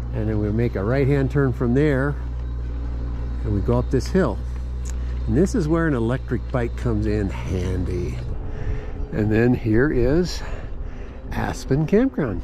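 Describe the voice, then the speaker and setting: A man at a fairly slow pace, with long, frequent pauses and noticeable background noise. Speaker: ride narrator. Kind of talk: casual ride-along commentary. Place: bicycle.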